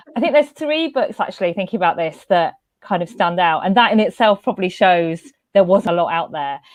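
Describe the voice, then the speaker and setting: In a London accent, a woman speaks fairly quickly at a medium pitch, her voice making very wide pitch swings. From West London, England. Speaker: panelist. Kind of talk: panel discussion.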